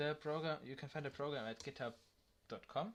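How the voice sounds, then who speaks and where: A man with a non-native accent. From Germany. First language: German. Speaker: tech tutorial youtuber. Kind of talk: tutorial. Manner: halting, many fillers.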